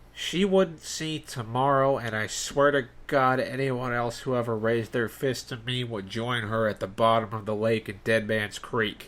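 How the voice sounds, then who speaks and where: A man speaks in a put-on character voice, nasal and at a medium pitch. His pace is moderate with hardly any pauses. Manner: menacing.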